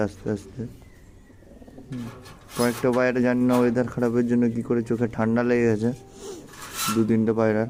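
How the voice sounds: Fast but broken by long, frequent pauses, a man's medium-pitched voice carries a dark, mellow tone.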